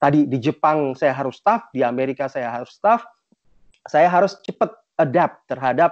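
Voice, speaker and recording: A man's fairly high voice in a dry, close sound with no echo. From Indonesia (Jakarta), childhood partly in Japan and US. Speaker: motivational speaker, productivity consultant. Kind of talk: talk sharing life story. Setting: virtual online event. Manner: halting, many fillers (eee).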